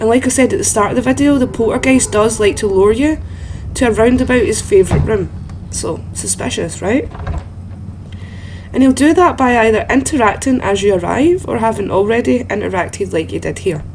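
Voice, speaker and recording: With a Scottish accent, a woman talks at a fairly quick pace over noticeable background noise. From Scotland. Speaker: gaming content creator. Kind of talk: video game guide commentary. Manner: soft-spoken.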